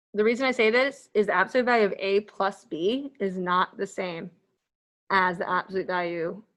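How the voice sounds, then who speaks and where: Against a quiet background, a woman mumbles fairly quickly at a medium pitch with ordinary pitch variation. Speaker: math instructor. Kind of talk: lecture. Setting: virtual classroom. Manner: mumbling.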